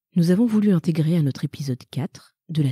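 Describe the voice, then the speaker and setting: A woman's dark, mellow, somewhat breathy voice moves at a moderate pace. The sound is dry and close with no echo. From Madagascar. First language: Malagasy (speaking French). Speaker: podcast co-host. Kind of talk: scripted announcement.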